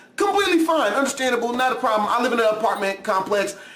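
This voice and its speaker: Loud and animated, a man speaks at an extremely high pitch with lively intonation, amid audible room echo and noticeable background noise. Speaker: YouTube reaction video creator. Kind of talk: casual vlog commentary.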